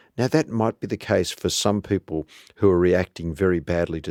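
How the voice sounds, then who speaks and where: A man's very deep, low voice at a moderate pace with ordinary pitch variation, in a very clean recording with a silent background and dry, close sound with no echo. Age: 60s. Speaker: cardiologist. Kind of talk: interview. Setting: studio.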